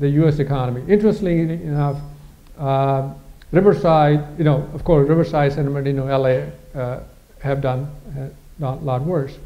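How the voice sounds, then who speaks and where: There is audible room echo as a man with a fairly high pitch speaks in fairly even intonation. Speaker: economist presenting a forecast. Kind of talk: presentation to an audience. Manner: fast; halting, many fillers.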